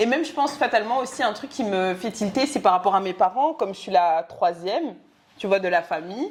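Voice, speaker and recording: She talks at a fairly quick pace with lively intonation. This woman has a normal speaking voice at a medium pitch. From Belgium. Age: 20s. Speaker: podcast co-host. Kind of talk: casual chat.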